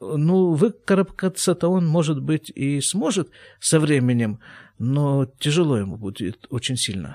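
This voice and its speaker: Dark, mellow tone and lively intonation at a fairly slow pace, in a dry, close sound with no echo and a very clean recording with a silent background. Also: man, fairly high pitch for a man. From former Soviet Union. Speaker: podcast host, physician. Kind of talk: reading aloud own old letters with commentary.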